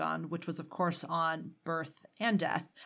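A woman with an ordinary speaking voice talks at a moderate pace and fairly low pitch on a very clean recording with a silent background. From Canada. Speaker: podcast host. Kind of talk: interview.

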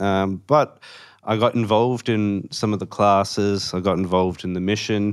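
With an Australian accent, a man talks at a fairly low pitch on a very clean recording against a silent background. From Western Australia, Perth. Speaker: Salvation Army officer trainee. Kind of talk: casual interview.

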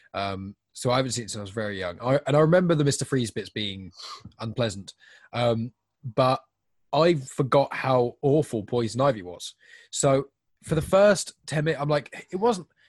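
In a normal speaking voice, a man talks at a moderate pace and medium pitch with lively intonation, the sound dry and close with no echo. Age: 20s. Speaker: podcast co-host. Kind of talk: casual chat.

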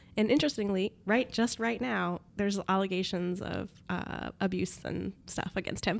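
A woman with vocal fry speaks at a moderate pace and a medium pitch. Her pitch varies in an ordinary way, and she hardly pauses. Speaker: podcast co-host. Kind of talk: casual chat.

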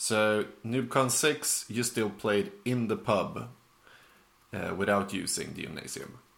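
Here a man speaks at a very slow pace. His pitch is medium, with ordinary variation. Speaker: podcast host. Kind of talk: casual podcast interview.

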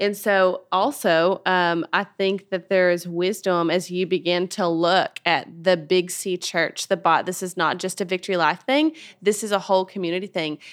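In an ordinary speaking voice, a woman talks at a moderate pace and medium pitch with fairly even intonation and hardly any pauses, on a very clean recording with a silent background. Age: 30s. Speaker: podcast host, women's ministry leader. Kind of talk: faith-based interview.

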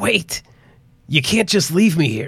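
Putting on a character voice, a man sounds raspy, with a fairly high pitch and very wide pitch swings. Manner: pleading, panicked.

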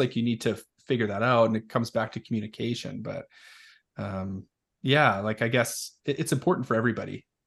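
Here is a man with an unremarkable speaking voice, medium in pitch with ordinary pitch variation. He talks at a fairly quick pace over a quiet background. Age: 30s. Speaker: parenting podcast host. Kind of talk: casual interview. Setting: studio.

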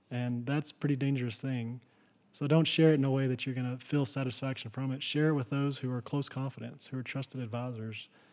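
In a very clean recording with a silent background, a man with a West Texas accent talks very fast with monotone, flat intonation. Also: medium pitch for a man. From Texas Panhandle. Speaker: rancher and furniture maker. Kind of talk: interview. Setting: in person. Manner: halting, many fillers.

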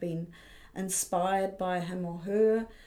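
A woman's fairly low voice carries a dark, mellow tone and fairly even intonation. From New Zealand, Auckland. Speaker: art fair director. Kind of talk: interview.

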